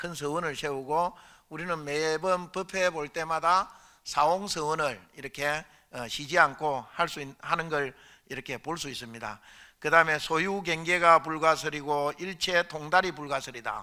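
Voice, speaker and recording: Speaking at a fairly slow pace, a man with a fairly high pitch and a bright, sharp tone keeps his intonation fairly even while his loudness swings widely. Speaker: Buddhist monk, temple abbot. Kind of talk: dharma lecture. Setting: dharma assembly at a temple. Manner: hesitant, many fillers.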